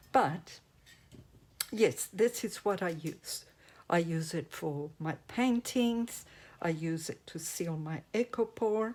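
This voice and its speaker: A very slow pace marks the delivery. The accent is non-native. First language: not English. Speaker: resin crafter / craft YouTuber. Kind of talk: craft tutorial. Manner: casual, halting.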